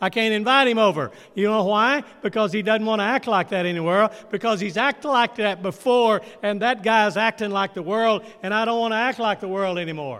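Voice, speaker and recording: A high-pitched man with a bright, sharp tone speaks at a fairly quick pace with ordinary pitch variation and hardly any pauses. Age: 80s+. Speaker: pastor. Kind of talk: sermon. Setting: church. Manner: call-and-response questions.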